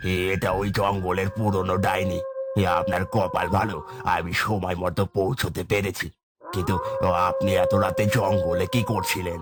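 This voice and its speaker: A man puts on a cartoonish character voice with a very deep, low pitch. He talks at a fairly slow pace. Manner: sly, falsely friendly.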